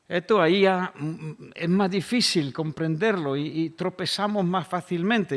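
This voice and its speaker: A man speaks at a fairly slow pace. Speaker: pastor. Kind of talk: sermon.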